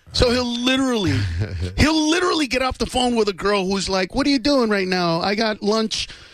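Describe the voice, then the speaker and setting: With lively intonation and an extremely high pitch, a man talks at a fairly quick pace over noticeable background noise. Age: 30s. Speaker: stand-up comedian. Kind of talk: casual chat. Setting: studio.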